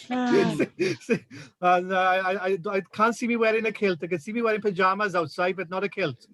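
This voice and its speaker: With a South Wales Valleys accent, a man talks at a moderate pace with hardly any pauses, a high pitch and ordinary pitch variation. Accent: Welsh, like the South Wales valleys. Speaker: rural tourism representative. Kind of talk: casual chat. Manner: halting, many repetitions.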